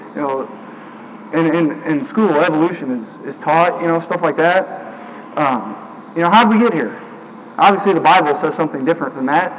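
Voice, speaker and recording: At a moderate pace, a man talks in a high pitch with ordinary pitch variation against noticeable background noise. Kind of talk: sermon delivered to a congregation. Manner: casual, conversational, with filler words.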